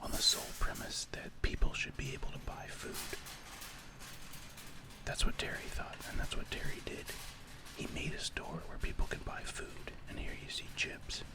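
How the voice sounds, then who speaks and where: A man whispering at a moderate pace, with long, frequent pauses and noticeable background noise. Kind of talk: asmr whispered grocery store walkthrough, deadpan humorous. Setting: recorded in a grocery store. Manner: whispered.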